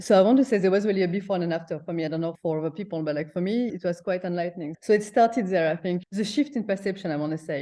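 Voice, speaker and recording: With a French accent, a woman speaks at a very fast pace in a dark, mellow tone, her pitch fairly low with ordinary variation. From France. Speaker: breathwork coach. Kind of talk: interview. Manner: halting.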